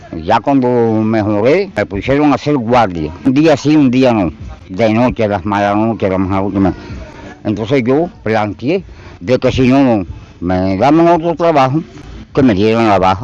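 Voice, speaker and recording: A medium-pitched man at a fairly slow pace, lively in intonation, with noticeable background noise. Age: 80s+. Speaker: retired machine operator. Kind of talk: street interview.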